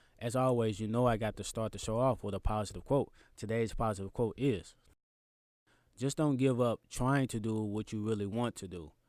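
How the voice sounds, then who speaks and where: Medium in pitch and moderate in pace, this man has a plain, everyday voice and fairly even intonation. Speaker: podcast host. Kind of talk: casual podcast talk.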